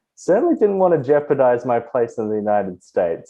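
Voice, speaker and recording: A man talks with an Australian accent. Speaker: tech professional and podcast guest. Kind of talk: casual chat.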